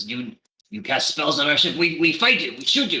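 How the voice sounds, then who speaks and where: A man puts on a character voice with a fairly high pitch, talking at a moderate pace. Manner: surprised, stammering.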